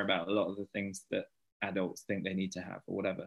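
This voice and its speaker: Someone talks at a fairly quick pace with a British accent. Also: man. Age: 30s. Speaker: stay-at-home dad and children's author. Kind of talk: casual interview.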